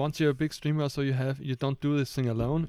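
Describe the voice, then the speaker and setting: A man speaks at a fairly quick pace in a medium pitch. His tone is dark and mellow, and his intonation is monotone and flat. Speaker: podcast co-host, designer. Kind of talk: casual chat. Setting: home attic with microphones. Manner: halting, searches for words.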